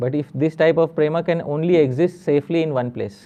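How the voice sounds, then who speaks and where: A man's fairly high voice in a Marathi accent, with ordinary pitch variation. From western India, Maharashtra. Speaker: spiritual teacher. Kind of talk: religious lecture with Q&A.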